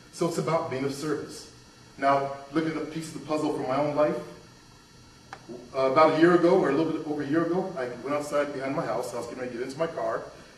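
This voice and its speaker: A man with an American accent and a fairly high voice speaks at a very fast pace with fairly even intonation, amid noticeable background noise and audible room echo. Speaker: motivational speaker. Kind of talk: motivational workshop talk.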